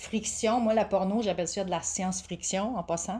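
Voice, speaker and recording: Heard on a very clean recording with a silent background, a woman with a medium pitch and a dark, mellow tone talks at a fairly quick pace with ordinary pitch variation. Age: 40s. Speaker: sex education coach and massage therapist. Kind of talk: casual interview.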